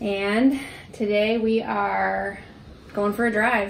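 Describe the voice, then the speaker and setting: A woman speaks over light background noise. Her voice carries an audible room echo. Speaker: vlogger. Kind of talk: casual vlog chat. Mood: cheerful, relaxed. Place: home room. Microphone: camera far.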